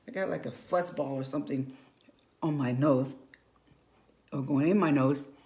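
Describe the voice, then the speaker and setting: A woman speaks with lively intonation, and audible room echo surrounds her voice. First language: Spanish. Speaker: makeup consultant and bilingual school teacher. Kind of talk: makeup tutorial livestream. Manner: casual, halting with repetitions.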